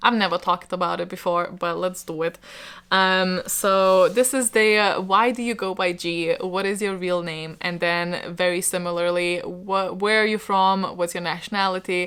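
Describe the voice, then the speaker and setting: A woman with a Lithuanian accent at a moderate pace, medium-pitched with fairly even intonation, on a very clean recording with a silent background. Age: 20s. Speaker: book YouTuber. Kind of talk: casual chat to camera. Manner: hesitant, many fillers.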